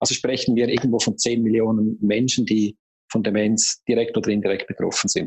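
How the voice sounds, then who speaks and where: With a plain, everyday voice, a man talks at a medium pitch and a moderate pace. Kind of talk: interview.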